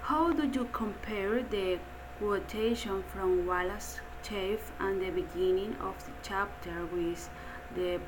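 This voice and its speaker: A woman speaking very slowly, with noticeable background noise and audible room echo. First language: Spanish. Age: 30s. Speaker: English language student. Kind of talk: reading aloud. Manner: halting.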